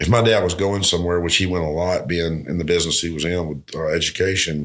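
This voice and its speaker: A man speaks with a Southern US accent in a very deep, low pitch and fairly even intonation. The recording is very clean with a silent background. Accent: Southern US (Georgia). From US South, southwest Georgia. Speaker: restaurateur and musician. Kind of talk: casual interview. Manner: halting, many fillers and repetitions.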